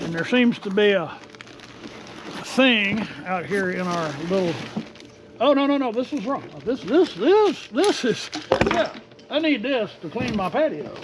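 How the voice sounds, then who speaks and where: The voice carries a Texas accent at a fairly slow pace with long, frequent pauses. Noticeable background noise runs underneath. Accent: Texas drawl. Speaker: RV and product review YouTuber. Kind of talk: casual unboxing vlog. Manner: animated.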